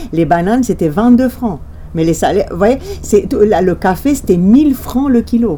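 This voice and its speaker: A woman with a Romanian accent speaks at a fairly slow pace and fairly high pitch. Her pitch swings very widely over noticeable background noise. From Romania, Bucharest. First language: Romanian (speaking French). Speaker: journalist. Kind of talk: interview.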